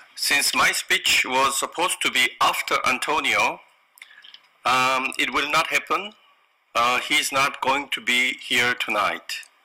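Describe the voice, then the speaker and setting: A man with a Korean accent talks at a fairly slow pace, his loudness very even. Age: 50s. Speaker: business owner. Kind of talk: corporate presentation. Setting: online conference. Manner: halting.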